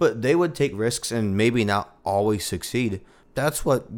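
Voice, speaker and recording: A man talks at a moderate pace in a plain, everyday voice. His pitch is fairly low. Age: 20s. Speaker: drummer and multi-instrumentalist. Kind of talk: casual chat.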